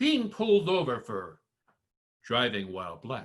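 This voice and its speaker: A man's fairly high voice with vocal fry, very wide pitch swings and a fairly slow pace. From US Northeast, Connecticut (Windham County). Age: 60s. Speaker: performer of own monologue, army veteran. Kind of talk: spoken-word performance. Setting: video call.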